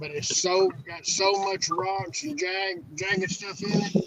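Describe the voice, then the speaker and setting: A high-pitched man at a fairly slow pace, lively intonation, noticeable background noise. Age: 60s. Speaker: catfish angler. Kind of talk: casual chat.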